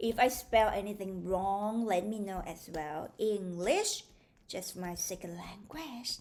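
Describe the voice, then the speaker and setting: A woman with a Thai accent, very slow pace, ordinary pitch variation and big swings in loudness. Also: medium pitch for a woman. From Thailand. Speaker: maths tutor. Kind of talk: tutorial. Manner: animated.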